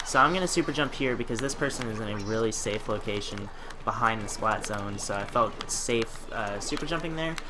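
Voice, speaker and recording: A man at a very fast pace with ordinary pitch variation, audible room echo and noticeable background noise. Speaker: gaming commentator. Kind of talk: live gameplay commentary.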